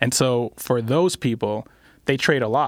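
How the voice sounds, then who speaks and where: At medium pitch and a fairly slow pace, a man speaks in an unremarkable speaking voice. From Puerto Rico, Carolina. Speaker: tech startup founder. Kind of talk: casual interview chat. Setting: studio.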